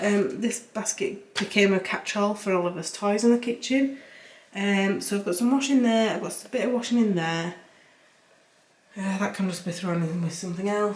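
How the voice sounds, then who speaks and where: Over noticeable background noise, a woman with a Yorkshire accent talks at a fairly quick pace with ordinary pitch variation. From Yorkshire, northern England. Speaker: cleaning vlogger. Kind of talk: casual voiceover narration of cleaning vlog. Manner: casual, chatty with fillers.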